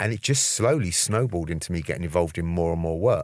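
In a London accent, a man with a very deep, low voice speaks at a fairly quick pace with lively intonation, on a very clean recording with a silent background. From London, Brixton, Jamaican family. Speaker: HIV activist and coach. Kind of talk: interview.

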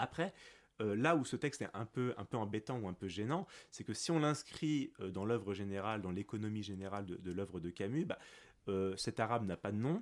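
In a plain, everyday voice, a man speaks at a fairly low pitch and moderate pace, in a very clean recording with a silent background. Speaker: philosophy teacher. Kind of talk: academic interview.

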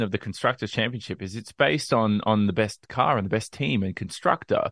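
In a dry, close recording with no echo, a man talks at a fairly quick pace with an Australian accent. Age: young. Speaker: sports reporter and commentator. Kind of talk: casual chat.

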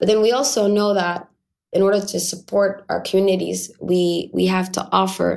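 A woman at a moderate pace with monotone, flat intonation. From Canada. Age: young. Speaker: peace activist. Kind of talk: interview.

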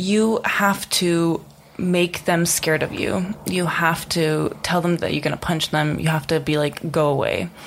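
A woman speaks at a fairly slow pace with fairly even intonation and very even loudness. Noticeable background noise is present. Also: fairly low pitch for a woman. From Czech Republic. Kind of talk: casual chat.

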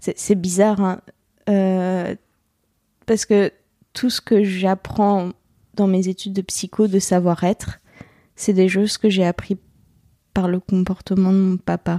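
A woman's dark, mellow tone in a dry, close sound with no echo, flat monotone intonation, a very slow pace and long, frequent pauses. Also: medium pitch for a woman. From France, Lorraine (Bouzonville). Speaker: psychology student. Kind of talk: personal testimony interview. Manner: halting, many hesitations.

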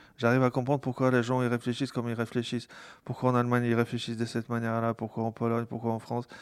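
A man's very fast, monotone, flat delivery. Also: medium pitch for a man. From Poland. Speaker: tech company founder. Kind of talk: interview conversation. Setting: home. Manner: halting, frequent repetitions.

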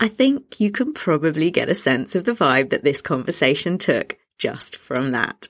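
A woman with a British accent speaks at a moderate pace in a fairly low voice, her pitch swinging very widely with hardly any pauses. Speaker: podcast host and parenting coach. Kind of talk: scripted intro then casual interview.

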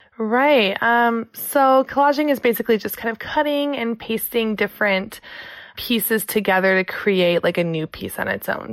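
Speaking at a moderate pace, a woman has a plain, everyday voice with a fairly high pitch and lively intonation. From US Midwest, Michigan. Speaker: collage artist and speech-language pathologist. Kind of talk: casual interview conversation. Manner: casual, filler-heavy with frequent 'like'.

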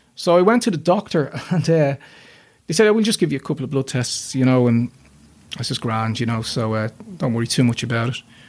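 Speaking very fast, a man with a Dublin accent uses lively intonation at a medium pitch. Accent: Dublin Irish. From Ireland, north Dublin. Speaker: illustrator and children's author. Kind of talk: interview testimony.

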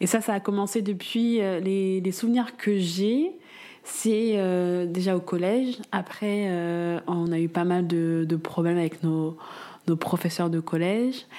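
A woman speaks very slowly at a medium pitch, her dark, mellow tone kept at a very even loudness with ordinary pitch variation. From Paris suburbs, France. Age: 20s. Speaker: medical resident and mother. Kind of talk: casual interview. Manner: hesitant, many fillers.

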